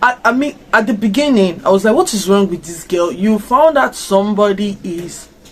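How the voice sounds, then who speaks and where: A woman with an African accent speaks at a medium pitch and moderate pace. Her tone is animated, with ordinary pitch variation. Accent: African accent coming out. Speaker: YouTuber reacting to a series. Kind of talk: casual reaction video.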